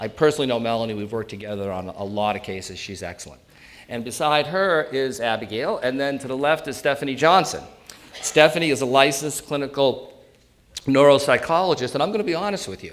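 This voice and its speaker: With a New England accent, a man races along at a very fast pace, his fairly high pitch rising and falling in lively intonation, his loudness swinging widely, and room echo audible around him. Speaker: elder law attorney. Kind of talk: seminar presentation. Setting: stage with audience. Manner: animated.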